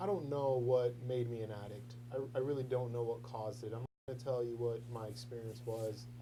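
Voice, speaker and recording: There is audible room echo as a man of medium pitch speaks fairly quickly with hardly any pauses and fairly even intonation. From born in London, raised in US from age seven. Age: 30s. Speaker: recovering addict. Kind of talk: testimony.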